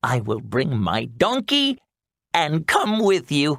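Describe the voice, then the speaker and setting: This is a put-on character voice from a man. He talks at a very slow pace. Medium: read story.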